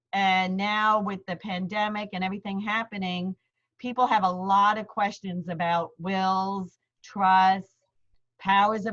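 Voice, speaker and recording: Here is a woman with a New York accent at medium pitch. She talks at a fairly slow pace in a monotone, flat delivery. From Queens, New York. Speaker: lawyer. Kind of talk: seminar presentation. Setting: video call. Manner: hesitant fillers.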